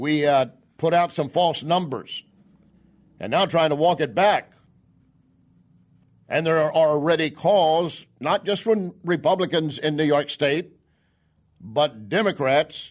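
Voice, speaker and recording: A fairly high-pitched man at a fairly slow pace, with ordinary pitch variation against a quiet background. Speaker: conservative radio talk show host. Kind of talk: radio commentary monologue.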